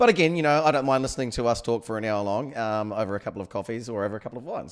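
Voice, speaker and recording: Someone with a New Zealand accent talks at a very fast pace with hardly any pauses, ordinary pitch variation and big swings in loudness. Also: man. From New Zealand, Taranaki. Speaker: podcast co-host. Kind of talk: casual chat.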